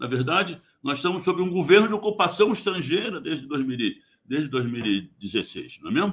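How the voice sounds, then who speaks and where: A man with vocal fry talks at a fairly slow pace. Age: 80s+. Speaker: geologist, former oil company worker. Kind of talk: radio interview.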